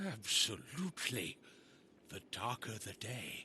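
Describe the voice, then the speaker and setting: A man's put-on character voice at medium pitch and a fairly slow pace, over clear background noise. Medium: video game. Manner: solemn, oratorical.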